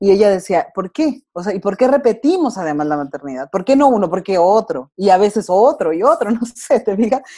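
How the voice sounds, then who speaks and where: A woman's dark, mellow voice of medium pitch, with very wide pitch swings, a fairly quick pace and hardly any pauses. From Mexico, Durango. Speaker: wife and mother, podcast guest. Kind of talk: casual interview conversation.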